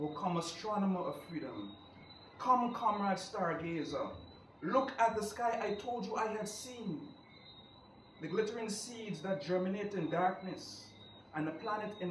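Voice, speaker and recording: With noticeable background noise behind him, a man speaks at a fairly slow pace, leaving long, frequent pauses. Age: young. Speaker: poetry reader. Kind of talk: poetry reading.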